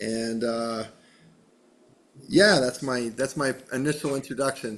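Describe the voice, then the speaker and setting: Speaking at a fairly slow pace in an American accent, a man has an unremarkable speaking voice, medium pitch and ordinary pitch variation. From western Massachusetts. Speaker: podcast host. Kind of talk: casual interview.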